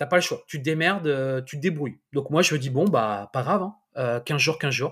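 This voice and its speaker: A plain, everyday voice from a man, fairly high in pitch with ordinary pitch variation, at a moderate pace, on a very clean recording with a silent background. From France, Le Mans. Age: 40s. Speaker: entrepreneur and property investor. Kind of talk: interview.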